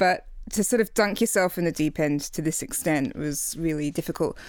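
Recorded very cleanly against a silent background, a woman with an English accent and a fairly low pitch speaks at a fairly quick pace. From England. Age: 40s. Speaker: author. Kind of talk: casual chat.

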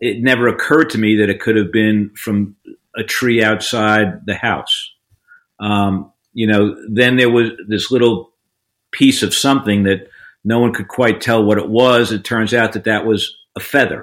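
The speaker has a New York accent. Their intonation stays fairly even. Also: man, medium pitch for a man, moderate pace. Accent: New York American. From New York, Long Island. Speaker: defense lawyer. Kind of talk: interview. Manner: halting, many fillers.

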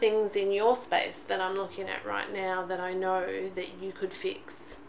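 A woman speaks at a medium pitch and moderate pace in a monotone, flat intonation. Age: 40s. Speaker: podcast co-host, mother and teacher. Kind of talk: casual chat. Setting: at home in son's bedroom.

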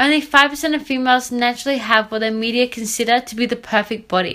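A woman's high-pitched, bright, sharp voice at a fairly quick pace, on a very clean recording with a silent background. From Australia. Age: 20s. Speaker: strength and conditioning coach, podcaster. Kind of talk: scripted-style solo podcast introduction. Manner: upbeat, enthusiastic.

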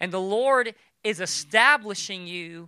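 The voice is raised and projected, with a bright, sharp tone. Its delivery has an animated tone. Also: man, very clean recording, silent background. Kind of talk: sermon. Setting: church. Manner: long pauses before key points.

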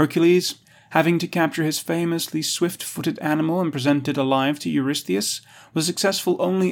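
Recorded very cleanly against a silent background, a man speaks at a fairly high pitch in an ordinary speaking voice. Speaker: audio article narrator. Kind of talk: documentary narration, scripted reading of an encyclopedia article. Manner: measured, even, formal; steady authoritative pace, clear diction.

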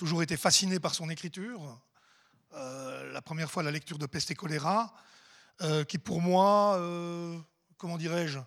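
With a very clean recording and a silent background, a man speaks at a moderate pace in a high pitch, using ordinary pitch variation. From Swiss Jura. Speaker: literary club president. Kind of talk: welcome speech.

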